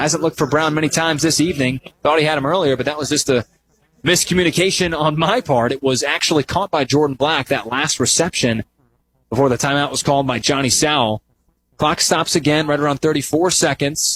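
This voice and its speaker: A man with an unremarkable speaking voice talks at a fairly quick pace and a fairly high pitch, with ordinary pitch variation, in a dry, close sound with no echo. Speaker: sports broadcaster. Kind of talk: radio football play-by-play.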